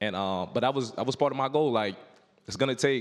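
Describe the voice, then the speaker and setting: A man with a New York accent. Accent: New York City. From New York City, Harlem. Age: 20s. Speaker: football player. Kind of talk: motivational speech to youth audience. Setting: stage with audience. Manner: casual, filler-heavy.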